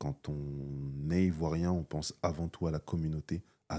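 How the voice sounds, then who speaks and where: In a dry, close sound with no echo, a man speaks at a very deep, low pitch with a dark, mellow tone and monotone, flat intonation. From France, Paris, of Ivorian parents. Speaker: entrepreneur and business school founder. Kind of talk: interview. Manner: hesitant, with fillers and repetitions.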